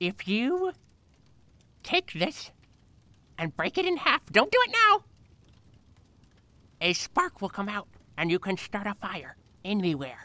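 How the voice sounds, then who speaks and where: In a put-on character voice, a female-sounding speaker talks at a fairly slow pace and medium pitch, with long, frequent pauses. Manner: crotchety, scolding.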